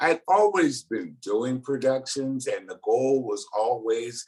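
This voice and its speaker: An American accent marks this man's unremarkable speaking voice, which is medium in pitch, ordinary in pitch variation, and fairly slow in pace. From Pasadena, California. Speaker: event producer. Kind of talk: interview storytelling.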